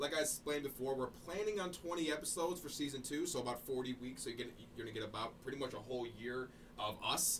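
A man at a very fast pace and medium pitch with ordinary pitch variation, over noticeable background noise. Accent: American. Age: 20s. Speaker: podcast co-host. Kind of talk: casual chat. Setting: studio.

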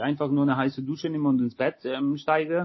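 Fairly high-pitched and flat in intonation, a man talks in a monotone at a very fast pace. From Poland, raised in Hamburg area from age 8. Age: 30s. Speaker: chef and caterer. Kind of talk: interview.

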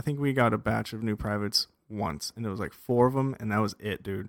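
With a normal speaking voice and an American accent, a man talks at a fairly low pitch with fairly even intonation, the sound dry and close with no echo in a very clean recording with a silent background. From US West, Las Vegas, Nevada. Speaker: army veteran. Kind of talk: casual chat.

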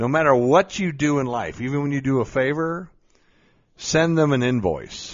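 A man with a medium-pitched voice talks in an animated tone. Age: 50s. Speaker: podcast host, mindset coach. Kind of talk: motivational talk.

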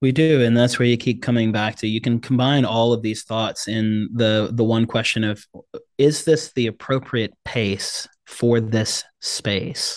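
An unremarkable speaking voice from a man, medium in pitch, with fairly even intonation, a fairly slow pace and a quiet background. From South Africa and Congo, moved to US as refugee child. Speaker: brain-based Enneagram coach. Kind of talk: interview.

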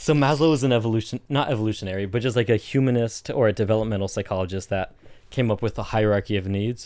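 A man speaks very fast with an American accent, medium pitch and ordinary pitch variation, on a very clean recording with a silent background. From Southern California. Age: 20s. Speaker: podcast guest. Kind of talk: casual chat. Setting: studio.

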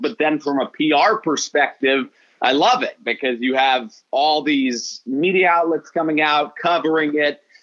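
Using lively intonation at a moderate pace, a man talks at a fairly high pitch with a Midwestern American accent. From Des Moines, Iowa. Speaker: baseball broadcaster. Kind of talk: casual interview.

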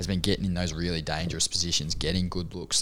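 A man speaks with an Australian accent. Vocal fry runs through his voice. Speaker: podcast co-host. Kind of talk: casual chat.

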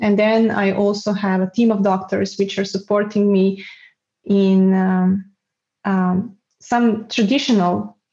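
Against a quiet background, a woman speaks in a dark, mellow, somewhat breathy tone, with monotone, flat intonation and very even loudness. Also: medium pitch for a woman, fairly slow pace. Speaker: guest with multiple sclerosis. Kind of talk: casual interview. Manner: halting, self-correcting.

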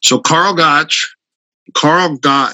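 Very slowly, a man with an American accent speaks, his pitch varying in an ordinary way. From Minnesota, US. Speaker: martial artist. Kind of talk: casual interview. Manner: storytelling, conversational.

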